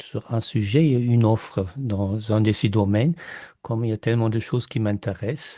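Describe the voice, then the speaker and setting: Against a quiet background, a man with a German accent speaks at a medium pitch and a fairly slow pace in a dark, mellow tone. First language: German (speaking French). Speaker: mastermind participant, German language teacher. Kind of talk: group sharing on video call. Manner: halting, many hesitations.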